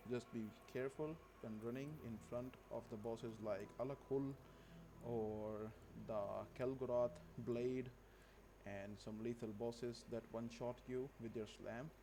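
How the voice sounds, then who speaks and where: Amid noticeable background noise, a man with a non-native accent speaks at a fairly slow pace and medium pitch, with fairly even intonation and long, frequent pauses. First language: not English. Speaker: gaming video creator. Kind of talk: gameplay tutorial.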